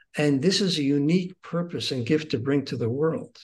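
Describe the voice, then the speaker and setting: Somewhat breathy, a man speaks at a moderate pace with fairly high pitch and ordinary pitch variation. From Israel. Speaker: author and rabbi. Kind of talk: interview about a book. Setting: remote interview.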